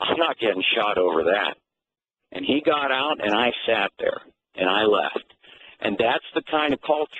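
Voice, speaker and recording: A man talks at a moderate pace with a fairly high pitch. His voice carries vocal fry. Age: 60s. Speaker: caller, former high school coach. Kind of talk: call-in storytelling.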